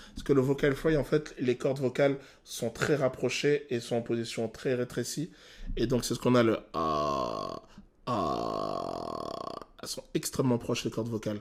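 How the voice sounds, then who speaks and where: A man's medium-pitched voice moves at a fairly slow pace, with pitch varying in an ordinary way. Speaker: vocal coach. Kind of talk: reaction video analysis of a song. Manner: hesitant, many filler sounds.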